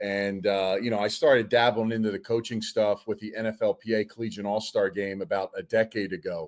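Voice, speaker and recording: A fairly low-pitched man with a Philadelphia accent, fairly even intonation, a fairly quick pace and hardly any pauses. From Delaware County, Pennsylvania (Philadelphia area). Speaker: football coach and former NFL player. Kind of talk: casual interview.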